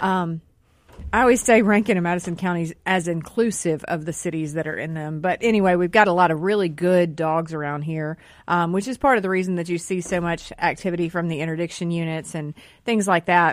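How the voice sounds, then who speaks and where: On a very clean recording with a silent background, a woman with a Southern US accent talks at a fairly quick pace. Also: fairly low pitch for a woman, ordinary pitch variation. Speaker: journalist. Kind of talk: casual radio talk show. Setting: radio studio.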